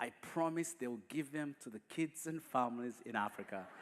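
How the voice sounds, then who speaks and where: In a Ugandan accent, a man with a fairly high pitch speaks at a moderate pace with lively intonation. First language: not English; English is his fourth language. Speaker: guest speaker. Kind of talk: testimony. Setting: church.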